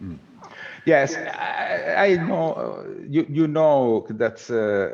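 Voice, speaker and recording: A man talks very slowly in an Italian accent, with big swings in loudness. Background noise is noticeable. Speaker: researcher. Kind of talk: conference Q&A. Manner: halting.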